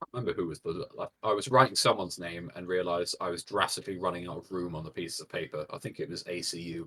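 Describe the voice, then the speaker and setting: A man with a British accent speaks very fast in a very deep, low voice with a bright, sharp tone, ordinary pitch variation and big swings in loudness. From Britain. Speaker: esports commentator. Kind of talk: live commentary.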